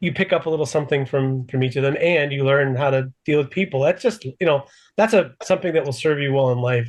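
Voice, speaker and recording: A man's very fast, somewhat breathy speech at a fairly high pitch, with ordinary pitch variation against a quiet background. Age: 60s. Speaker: podcast host. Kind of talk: interview. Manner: halting.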